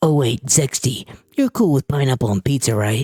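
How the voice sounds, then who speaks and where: Using a put-on character voice, a man speaks at a moderate pace and medium pitch with very even loudness in a dry, close sound with no echo. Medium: game stream. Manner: casual, wry.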